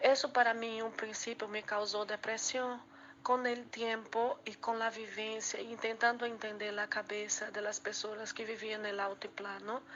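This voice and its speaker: A woman speaks in a Portuguese accent at a fairly slow pace. Her fairly high voice keeps a monotone, flat intonation. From Brazil. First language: Portuguese (speaking Spanish). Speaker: student presenter. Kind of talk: class presentation.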